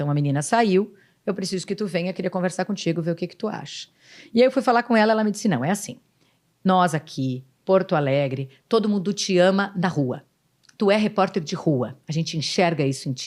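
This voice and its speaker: On a very clean recording with a silent background, a woman speaks fairly quickly in an animated tone with lively intonation. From Rio Grande do Sul, Brazil. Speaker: city councillor and former TV news presenter. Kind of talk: podcast interview.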